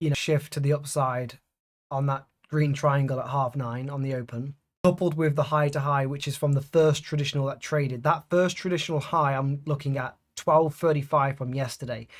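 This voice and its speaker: A man speaks at a moderate pace and a fairly high pitch. His delivery is monotone and flat, and somewhat breathy. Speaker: day trader. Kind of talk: live trading commentary.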